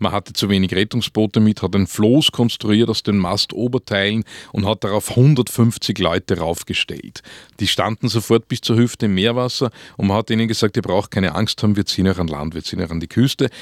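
With an Upper Austrian accent, a man speaks at a fairly quick pace and fairly low pitch, with ordinary pitch variation. The recording is very clean and dry, close with no echo and a silent background. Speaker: author. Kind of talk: radio interview. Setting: studio. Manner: halting.

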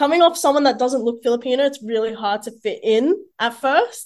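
High-pitched woman with an Australian accent, moderate pace, quiet background. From Sydney, Greater Western (Mount Druitt). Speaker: social media influencer. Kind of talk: interview. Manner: hesitant with many fillers.

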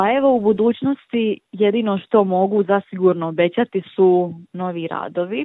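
A woman with an ordinary speaking voice talks at a medium pitch with ordinary pitch variation and hardly any pauses. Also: moderate pace. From Bosnia and Herzegovina, Livno. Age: 20s. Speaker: painter. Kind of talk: interview.

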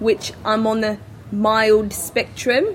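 Over noticeable background noise, a woman with an Australian accent speaks with fairly even intonation. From Adelaide, South Australia. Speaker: tennis player. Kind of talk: interview.

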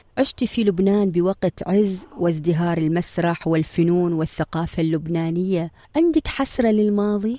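A woman speaks at a fairly slow pace with a dark, mellow tone and fairly low pitch, her loudness very even, her pitch variation ordinary, hardly any pauses, and a dry, close sound with no echo. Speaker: podcast host, interviewer. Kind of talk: interview.

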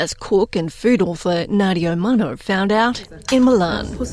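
An ordinary speaking voice comes at a moderate pace with ordinary pitch variation. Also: woman. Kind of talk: news reading. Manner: formal, measured newsreader delivery; clear, steady, even pacing.

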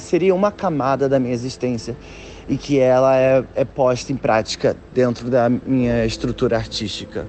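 Medium-pitched male voice over noticeable background noise. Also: ordinary pitch variation, moderate pace. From Brazil, Nilópolis, Baixada Fluminense. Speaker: photographer. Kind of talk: interview. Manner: halting, repetitions.

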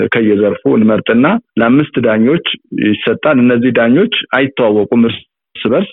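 A man speaks in a plain, everyday voice, medium in pitch with ordinary pitch variation. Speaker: media executive and author. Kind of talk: interview.

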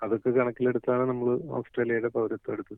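Intonation stays monotone and flat. The man's voice rests at a medium pitch. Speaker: hospital worker, immigrant interviewee. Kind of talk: interview soundbite.

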